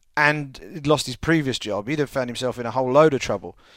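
The speaker is a man. He has an English accent. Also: very clean recording, silent background. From England. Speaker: MMA journalist. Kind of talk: casual chat.

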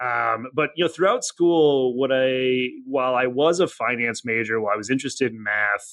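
A man with an American accent has a plain, everyday voice at a medium pitch with ordinary pitch variation. He goes at a moderate pace with hardly any pauses. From US Midwest (Janesville, Wisconsin). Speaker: insurance data executive. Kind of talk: interview.

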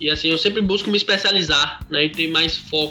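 A man with an ordinary speaking voice talks in a fairly high pitch and fairly even intonation. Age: 20s. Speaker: professional online poker player. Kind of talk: podcast interview.

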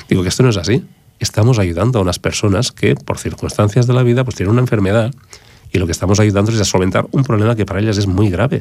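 At a very fast pace, a man speaks in a fairly low voice with ordinary pitch variation. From Barcelona, Raval. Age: 50s. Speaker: wig specialist. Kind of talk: radio interview. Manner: halting.

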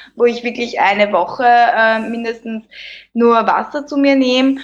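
With an Austrian accent, a woman talks at a moderate pace in a fairly high pitch. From Lower Austria, near Vienna. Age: 30s. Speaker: plastic surgery clinic worker and Instagram creator. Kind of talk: casual interview.

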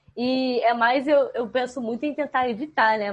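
An ordinary speaking voice, a woman at a moderate pace. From Rio de Janeiro state, Brazil. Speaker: animal trainer. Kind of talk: casual chat.

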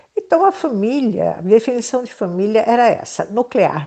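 Very wide pitch swings run through a dark, mellow tone. The pace is fairly slow. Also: woman. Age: 70s. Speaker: psychologist and author. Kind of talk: interview.

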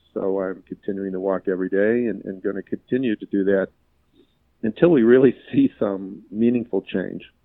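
A man talks in a plain, everyday voice at a fairly low pitch. His pace is moderate and his intonation fairly even. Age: 60s. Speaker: physician and patient safety CEO. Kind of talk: interview.

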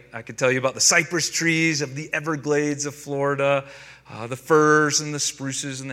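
With an American accent, a man speaks in a fairly high, bright, sharp voice with ordinary pitch variation. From North Carolina, US South. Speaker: pastor. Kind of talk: sermon.

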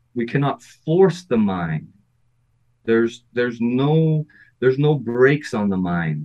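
This man speaks at a fairly slow pace and a medium pitch, his voice making very wide pitch swings. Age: 50s. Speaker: breathing and performance coach. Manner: animated, chatty with laughs.

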